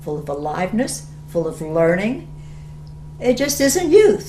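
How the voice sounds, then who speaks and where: A woman is speaking in a room with audible echo. Noticeable background noise can be heard. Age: 70s. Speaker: retired teacher of aging class, emphysema patient. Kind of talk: documentary interview; classroom discussion.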